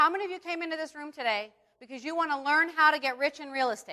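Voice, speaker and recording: Raised and projected, a woman's high-pitched voice races at a very fast pace with an animated, bright, sharp tone and lively intonation. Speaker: seminar instructor. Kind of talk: live seminar. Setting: stage with audience.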